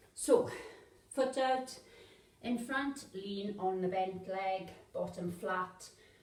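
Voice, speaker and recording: A woman mumbles at medium pitch. Her voice sounds somewhat breathy. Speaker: fitness instructor. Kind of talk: workout instruction. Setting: home workout video. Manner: mumbling.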